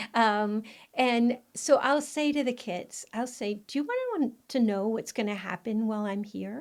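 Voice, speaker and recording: The speaker, a woman, keeps a moderate pace. Her pitch moves in an ordinary way. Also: fairly high pitch for a woman, very clean recording, silent background. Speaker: parenting author and educator. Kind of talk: interview.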